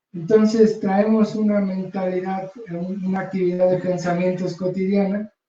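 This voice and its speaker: A soft-spoken man talks at a high pitch. His intonation is monotone and flat. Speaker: poet and author. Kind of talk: book presentation speech. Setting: bookstore event with audience.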